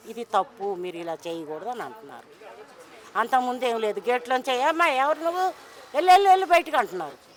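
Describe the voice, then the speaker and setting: A woman speaks with a fairly high pitch and very wide pitch swings. Crowd noise fills the background. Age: 60s. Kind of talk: street interview answer.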